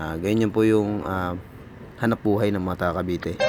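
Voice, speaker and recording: Noticeable background noise runs under a man's fairly low voice. He talks at a fairly quick pace with monotone, flat intonation. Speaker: vlogger. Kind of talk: casual vlog narration.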